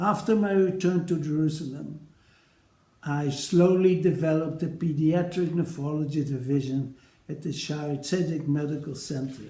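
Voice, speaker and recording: In a Dutch accent, a man speaks with a dark, mellow tone and a fairly high pitch. His pace is moderate and his intonation fairly even. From Netherlands. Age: 80s+. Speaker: retired paediatric nephrologist. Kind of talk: recorded personal address to colleagues. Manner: formal.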